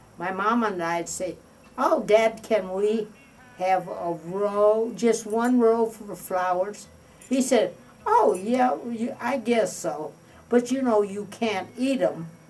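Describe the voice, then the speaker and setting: The speaker is a woman with a Midwestern American accent. She talks at a very slow pace with ordinary pitch variation. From US Midwest, Indiana. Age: 80s+. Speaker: retired art teacher. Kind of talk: interview reminiscence. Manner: halting.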